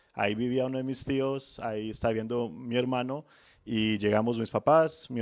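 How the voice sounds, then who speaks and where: At medium pitch, a man talks with ordinary pitch variation. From Colombia, Manizales (paisa region). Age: 30s. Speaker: home loan officer. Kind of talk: podcast interview.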